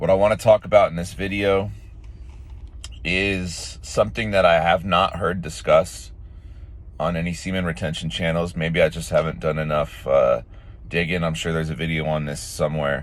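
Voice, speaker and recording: A man speaks at a moderate speed while noticeable background noise carries on underneath. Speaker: self-improvement vlogger. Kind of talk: casual monologue. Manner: casual, with frequent fillers.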